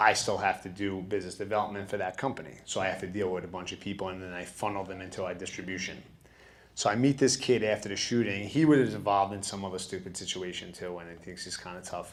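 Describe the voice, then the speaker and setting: Speaking very fast with a New York accent, a man with a fairly low pitch shows ordinary pitch variation and big swings in loudness, with audible room echo. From Bronx, New York. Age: 30s. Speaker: studio founder. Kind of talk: interview. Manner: animated.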